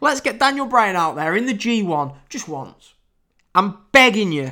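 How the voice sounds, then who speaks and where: In a British accent, a man raises and projects a bright, sharp, high-pitched voice with very wide pitch swings at a moderate pace on a very clean recording with a silent background. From United Kingdom. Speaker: wrestling podcast host. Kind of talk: casual podcast recap and review. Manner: casual, chatty.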